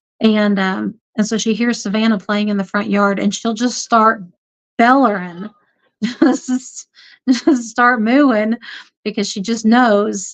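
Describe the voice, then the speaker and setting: Using a Southern US accent, a woman talks at a fairly slow pace. Her pitch is fairly high and her intonation fairly even. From US South. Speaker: homesteader and homeschooling mom. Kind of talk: livestream chat reading viewer comments. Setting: livestream. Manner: casual, halting with many fillers.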